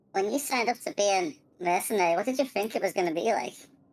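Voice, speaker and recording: Using a put-on character voice at medium pitch, a woman speaks at a very fast pace. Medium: actual play. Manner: casual, matter-of-fact.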